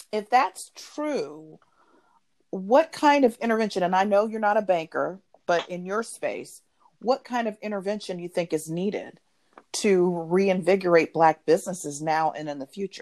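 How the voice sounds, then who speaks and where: A woman's normal speaking voice at a medium pitch and moderate pace, with lively intonation and big swings in loudness. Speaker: business podcast host. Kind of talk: podcast interview.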